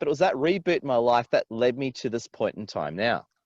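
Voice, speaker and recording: With an Australian accent and lively intonation, a man is heard in a dry, close sound with no echo. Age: 40s. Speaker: business coach and influencer. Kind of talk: interview. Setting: outdoors by a river, video call.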